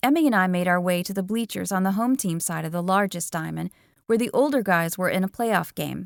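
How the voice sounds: What you hear is a natural reading voice.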